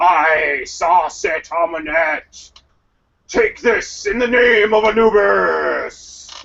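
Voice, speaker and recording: A man puts on a character voice at a high pitch and a very slow pace. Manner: solemn, magical, commanding.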